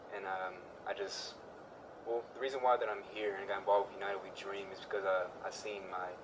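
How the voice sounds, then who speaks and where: A man with an American accent talks at a fairly quick pace in a fairly low pitch, his intonation fairly even but his loudness swinging widely, amid audible room echo and noticeable background noise. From Houston, Texas. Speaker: community outreach organizer. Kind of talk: interview. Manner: halting, many fillers.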